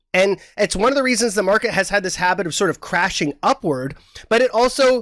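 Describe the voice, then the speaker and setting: Very clean and silent in the background, the recording has a dry, close sound with no echo. A man speaks at a fairly quick pace in a high voice with lively intonation. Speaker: market analyst. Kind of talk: interview. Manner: fast.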